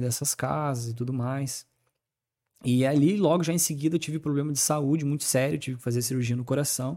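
A man speaks at a fairly quick pace in a normal speaking voice. His pitch sits in the middle range, with fairly even intonation. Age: 30s. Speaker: former tattoo artist turned evangelical speaker. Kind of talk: casual chat.

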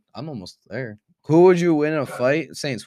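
The tone is dark and mellow, with a New Jersey accent at a moderate pace. The recording is very clean, with a silent background. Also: man. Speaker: podcast host and streamer. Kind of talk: casual chat.

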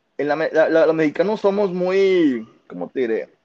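A man with an ordinary speaking voice, lively intonation and a fairly slow pace, in a dry, close sound with no echo. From Monterrey, Nuevo León, Mexico. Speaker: football fan, podcast regular. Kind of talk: casual chat.

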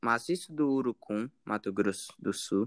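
A man talks very slowly. Behind him the background is quiet. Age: 20s. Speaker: researcher. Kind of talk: interview. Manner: halting.

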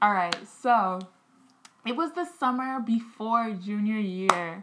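Over noticeable background noise, a woman speaks very slowly at a fairly high pitch. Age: 20s. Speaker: podcast co-host. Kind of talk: casual chat.

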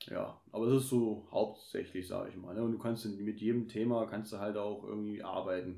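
A man talks in a fairly low pitch at a moderate pace. His intonation is monotone and flat, with hardly any pauses. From Germany, Kassel. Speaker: podcaster. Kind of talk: casual chat.

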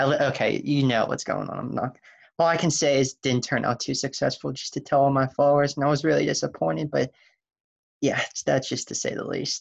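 A man's fairly quick speech, with vocal fry and a slightly husky edge. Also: medium pitch for a man, ordinary pitch variation.

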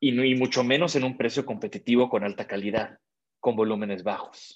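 A man's voice sits at a medium pitch, moving at a moderate speed with ordinary variation in pitch. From Mexico. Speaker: industrial designer. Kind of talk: interview. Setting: video call.

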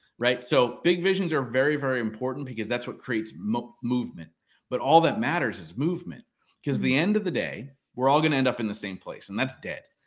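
A man's very fast pace, lively intonation and vocal fry. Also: medium pitch for a man. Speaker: entrepreneur and podcast host. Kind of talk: interview, conversational.

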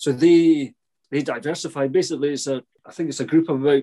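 A man with a Scottish accent speaks at a moderate pace in a fairly high pitch. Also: quiet background. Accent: Scottish (Fife). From Scotland, St Andrews. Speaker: head gardener and TV gardening presenter. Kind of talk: interview.

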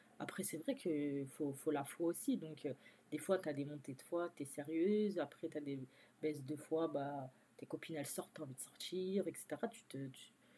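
Speaking at a moderate pace, a woman with a very deep, low pitch and a dark, mellow tone shows ordinary pitch variation and big swings in loudness. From France. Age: 20s. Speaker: stay-at-home mother, store manager. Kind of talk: interview testimony.

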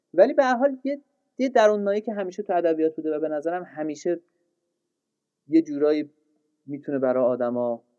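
A man with a dark, mellow tone and fairly high pitch talks at a fairly quick pace, breaking it with long, frequent pauses. His pitch swings very widely, and the sound is dry and close with no echo. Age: 30s. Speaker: literature lecturer and podcaster. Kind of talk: casual interview.

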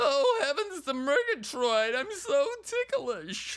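In a put-on character voice, the speaker uses a high pitch with very wide pitch swings at a fairly slow pace. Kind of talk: old-fashioned exclamatory. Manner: exaggerated cartoon voice.

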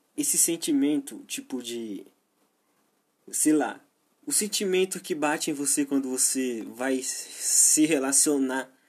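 A man with a Brazilian accent speaks at a very slow pace, leaving long, frequent pauses. His fairly high voice has ordinary pitch variation on a very clean recording with a silent background. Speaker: podcaster. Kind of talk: solo monologue. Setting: home, at his PC while gaming. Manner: halting.

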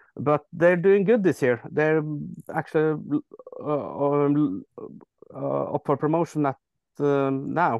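Ordinary pitch variation marks this voice with a Norwegian accent. The background is quiet. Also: man. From Norway, near Oslo. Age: 30s. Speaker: football fan. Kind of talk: casual chat.

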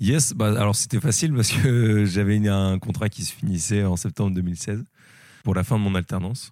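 A man's fairly low, dark and mellow voice at a moderate pace with ordinary pitch variation, in a very clean recording with a silent background. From northern France, Lille. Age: 20s. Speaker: entrepreneur. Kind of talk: casual interview. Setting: flatshare in Lille. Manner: hesitant, many fillers.

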